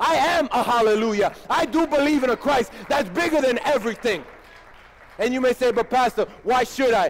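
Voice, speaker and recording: With crowd noise in the background, a man talks at a moderate pace in an animated tone, his pitch extremely high with ordinary variation. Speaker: pastor. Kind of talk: sermon. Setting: church. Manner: animated, emphatic preacher in full flow, rhetorical questions and punchy repetition. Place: church.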